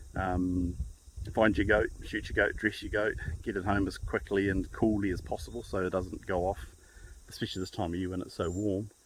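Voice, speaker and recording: Speaking in a New Zealand accent, a man uses a fairly low, somewhat breathy voice. He moves at a fairly quick pace with monotone, flat intonation. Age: 50s. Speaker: hunter. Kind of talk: casual talk to camera. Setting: outdoors.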